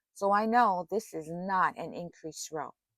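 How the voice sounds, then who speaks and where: In a dry, close recording with no echo, a woman speaks with ordinary pitch variation. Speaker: crochet instructor. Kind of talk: tutorial. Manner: slow.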